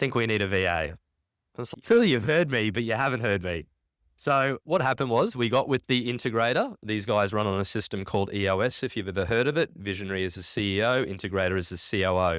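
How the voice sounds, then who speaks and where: An animated man talks at a very fast pace with a fairly low pitch and ordinary pitch variation. The recording is very clean with a silent background. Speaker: conference keynote speaker. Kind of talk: keynote talk. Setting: stage with audience.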